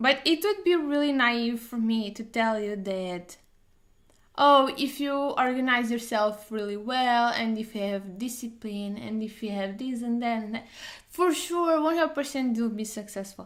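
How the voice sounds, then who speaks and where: A woman talks at a fairly slow pace with a Portuguese accent. Her intonation is lively. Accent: Portuguese accent, noticeable. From Portugal. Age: 30s. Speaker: doctor and study streamer. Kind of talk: casual live stream chat. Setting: live stream. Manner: hesitant, many fillers.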